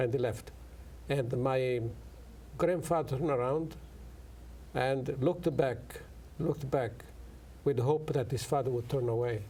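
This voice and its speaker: Amid audible room echo, a man with a dark, mellow, somewhat breathy voice at a medium pitch speaks at a moderate pace with fairly even intonation and long, frequent pauses. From Italy. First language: Italian. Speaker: professor. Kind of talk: interview. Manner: halting.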